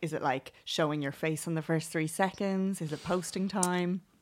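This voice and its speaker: Against a silent background on a very clean recording, a woman with an Irish accent and a fairly low pitch talks at a moderate pace. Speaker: podcast host. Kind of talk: scripted podcast intro; casual interview chat.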